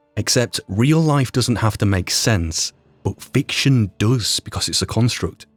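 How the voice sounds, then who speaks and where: At a fairly slow pace and medium pitch, a man speaks with lively intonation, the sound dry and close with no echo. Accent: Yorkshire. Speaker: YouTube roleplay creator and voice performer. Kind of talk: podcast retrospective monologue.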